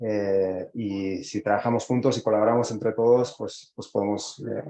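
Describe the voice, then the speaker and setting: The voice carries a dark, mellow tone and a monotone, flat intonation. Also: man. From Spain. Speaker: startup executive. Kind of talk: interview. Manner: halting with frequent fillers.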